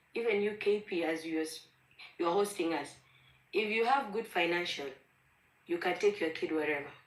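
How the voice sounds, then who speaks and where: A woman with a Kenyan accent, medium pitch, and a moderate pace. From Ethiopia, Gambela. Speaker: caller on online discussion. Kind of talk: heated debate. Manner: animated.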